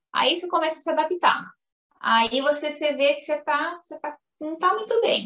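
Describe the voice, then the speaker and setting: The voice has an animated tone and moves at a moderate pace. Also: woman. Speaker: Brazilian immigrant in Italy. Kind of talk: casual interview.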